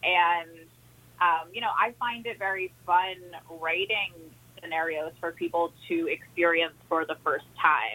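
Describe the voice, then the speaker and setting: With an ordinary speaking voice, a woman speaks at a fairly slow pace and fairly low pitch, using ordinary pitch variation. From New Orleans, US. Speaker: author. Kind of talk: interview.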